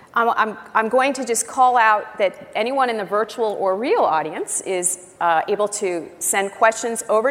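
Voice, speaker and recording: With noticeable background noise around her, a woman talks at a moderate pace and ordinary pitch variation. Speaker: interviewer, editorial director. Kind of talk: live interview. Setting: conference stage with audience.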